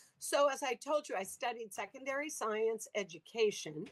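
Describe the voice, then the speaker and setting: An unremarkable speaking voice with an American accent, using ordinary pitch variation at a moderate pace. The sound is dry and close, with no echo. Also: woman. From US South, Louisiana. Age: 60s. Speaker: sea cucumber farming entrepreneur, former biology teacher. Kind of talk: interview with slide presentation.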